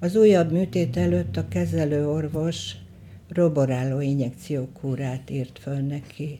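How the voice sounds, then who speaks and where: A woman with a very deep, low pitch and a dark, mellow tone, with very wide pitch swings at a very slow pace. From western Hungary, Sárvár. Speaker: photographer. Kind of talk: reading aloud of memoir.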